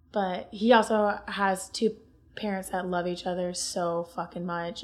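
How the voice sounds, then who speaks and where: A woman's medium-pitched voice with an Ohio accent, monotone and flat, at a fairly slow pace on a very clean recording with a silent background. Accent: Northern US (Ohio). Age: 20s. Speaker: podcast guest. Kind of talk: casual chat.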